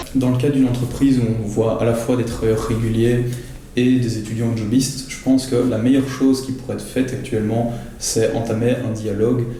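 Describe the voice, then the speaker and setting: A man's medium-pitched, monotone, flat voice at a moderate pace, with audible room echo and noticeable background noise. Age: 20s. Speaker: student worker. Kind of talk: interview testimony. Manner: hesitant, frequent fillers.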